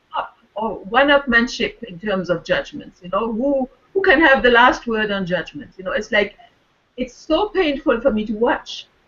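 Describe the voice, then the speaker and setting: A woman speaks with a French accent at a high pitch and a moderate pace. Her pitch swings very widely and her loudness swings a lot. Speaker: wellness circle participant. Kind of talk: casual chat. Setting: video call.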